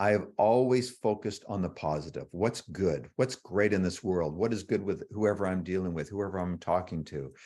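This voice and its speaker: A man with a Canadian accent, a plain, everyday voice, fairly low pitch and ordinary pitch variation against a quiet background. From Canada. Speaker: author. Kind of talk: interview. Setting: livestream.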